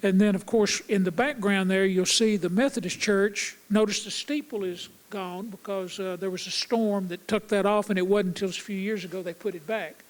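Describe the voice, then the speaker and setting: Here a man with a high pitch talks at a moderate pace with hardly any pauses. His intonation stays fairly even. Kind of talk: presenting photos in a stage conversation. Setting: theatre stage.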